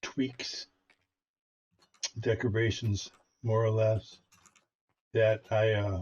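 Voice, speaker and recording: A man talks at a medium pitch in a somewhat breathy voice. His pace is very slow. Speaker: gaming YouTuber. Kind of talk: gameplay commentary. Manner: casual, hesitant with fillers.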